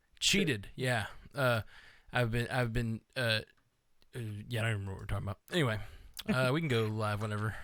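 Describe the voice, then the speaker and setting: A man with a slight Southern US accent speaks at a medium pitch with ordinary pitch variation. He leaves long, frequent pauses, and the recording is very clean with a silent background. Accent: slight Southern drawl. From US South. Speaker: podcast co-host. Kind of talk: casual chat. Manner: halting.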